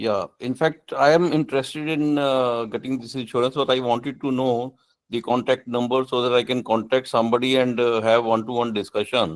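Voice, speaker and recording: On a very clean recording with a silent background, a man with an Indian accent speaks at medium pitch and a fairly quick pace, with fairly even intonation and hardly any pauses. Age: 70s. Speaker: alumnus asking questions. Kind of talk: Q&A question. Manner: halting.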